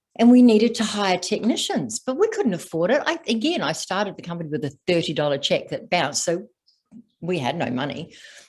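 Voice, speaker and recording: A somewhat breathy woman's voice at a medium pitch with very wide pitch swings, a fairly quick pace and an Australian accent. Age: 60s. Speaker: stress and trauma coach, former executive. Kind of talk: podcast interview.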